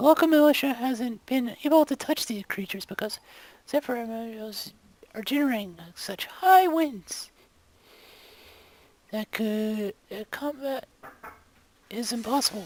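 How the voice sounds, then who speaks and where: A woman uses a put-on character voice, high-pitched with lively intonation. She talks at a moderate pace with long, frequent pauses. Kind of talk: video game voice acting. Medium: video game.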